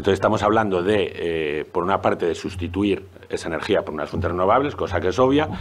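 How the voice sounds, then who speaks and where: Talking at a very fast pace, a man leaves hardly any pauses. His pitch is fairly low, with ordinary variation. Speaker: zoology professor and researcher. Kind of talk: panel presentation. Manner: hesitant, many fillers.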